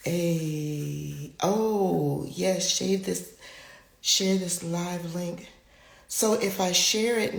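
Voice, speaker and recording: Audible room echo and noticeable background noise surround a woman speaking at a medium pitch with fairly even intonation. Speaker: spiritual healer and live-stream host. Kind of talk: live-stream talk. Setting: live stream on social media.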